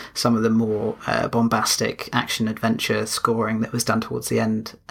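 With an English accent, a man speaks at a medium pitch and a fairly quick pace. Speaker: podcast co-host.

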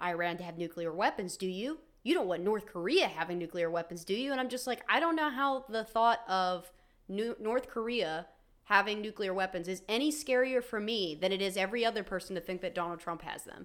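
A woman speaks fairly quickly with lively intonation in an ordinary speaking voice, on a very clean recording with a silent background. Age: 20s. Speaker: podcast co-host. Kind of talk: casual chat about politics; reading notes aloud on history.

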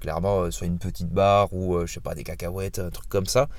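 This is a man speaking. His intonation is lively. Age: 30s. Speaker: podcast host and fitness coach. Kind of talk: casual solo monologue. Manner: halting, many fillers.

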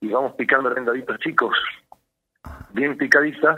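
In an unremarkable speaking voice, a man talks at a medium pitch and moderate pace with fairly even intonation. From Salta, northwest Argentina. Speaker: architect and cook. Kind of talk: cooking tutorial.

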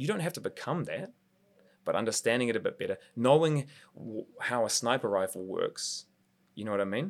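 In a New Zealand accent, a man talks at a fairly quick pace and medium pitch with lively intonation, on a very clean recording with a silent background. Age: 30s. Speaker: martial artist. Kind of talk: casual interview.

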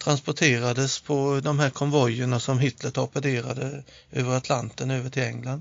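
A man at medium pitch with monotone, flat intonation. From Småland, Sweden (Nässjö). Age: 50s. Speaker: inventor and workshop owner. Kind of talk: casual chat. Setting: improvised studio in a hotel toilet. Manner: halting, many repetitions; quiet.

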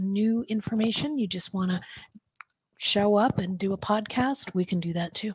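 Somewhat breathy, a woman speaks at a medium pitch and a moderate pace with ordinary pitch variation. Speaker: podcast host and presenter. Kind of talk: business presentation. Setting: video call with screen share.

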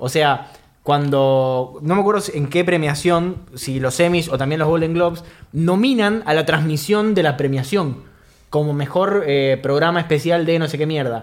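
Speaking at a fairly slow pace with a Rioplatense accent, a man uses a fairly high pitch and ordinary pitch variation. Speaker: podcast host. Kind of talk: casual chat.

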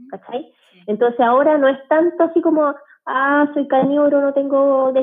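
A woman with a high pitch speaks at a moderate pace. Her intonation stays fairly even. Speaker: medical doctor. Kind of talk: casual interview.

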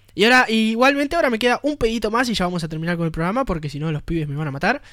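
A man talks with a Rioplatense accent. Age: 20s. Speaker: radio host. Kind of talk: radio show.

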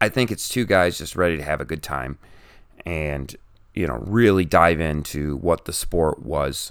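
With vocal fry and lively intonation, the voice moves at a moderate pace on a very clean recording against a silent background. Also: man. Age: 40s. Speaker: pastor and martial arts instructor hosting a podcast. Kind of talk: casual solo podcast monologue. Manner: hesitant, many fillers.

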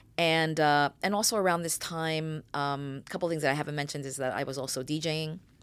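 A woman with an American accent and a very deep, low pitch speaks at a fairly quick pace, with fairly even intonation and hardly any pauses. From New York (Bronx) and New Jersey suburbs. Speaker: film and TV producer. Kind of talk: interview.

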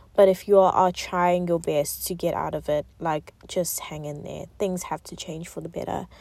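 Her loudness swings widely as she speaks. This woman keeps a moderate pace with hardly any pauses. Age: 20s. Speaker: podcast host. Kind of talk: casual monologue.

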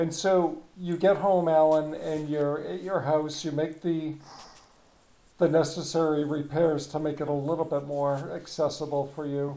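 In audible room echo, a man with a New England accent and a dark, mellow tone speaks at a fairly high pitch, fairly slowly, with fairly even intonation. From New Hampshire. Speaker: podcast host, former rehab hospital worker. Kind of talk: interview.

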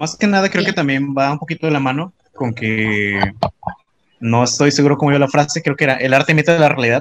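With a fairly high pitch and ordinary pitch variation, a man speaks at a very fast pace. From Mexico, Tabasco. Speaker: podcast co-host. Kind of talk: casual chat. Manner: animated.

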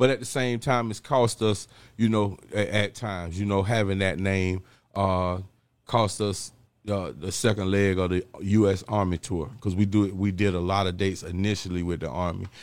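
The pitch of this man's voice is fairly low, and his pace is moderate. The recording is very clean, with a silent background. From Jacksonville, Florida. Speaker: rapper. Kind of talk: interview.

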